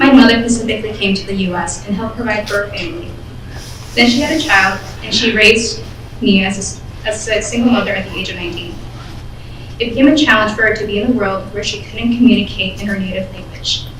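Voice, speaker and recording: With an American accent, a woman talks at a very fast pace through audible room echo and noticeable background noise. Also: fairly high pitch for a woman, ordinary pitch variation. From Michigan, US. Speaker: nursing student. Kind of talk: prepared speech. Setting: awards ceremony stage.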